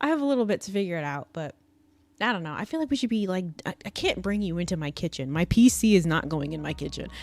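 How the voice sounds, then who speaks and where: A woman's fairly low-pitched voice with lively intonation, over music in the background. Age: 20s. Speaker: streamer. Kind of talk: casual chat. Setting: live stream. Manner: fast.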